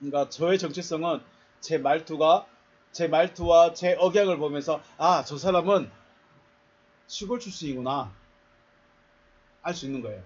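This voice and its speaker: A man's fairly high voice at a fairly slow pace, with ordinary pitch variation, big swings in loudness and long, frequent pauses. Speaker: pastor. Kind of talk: sermon.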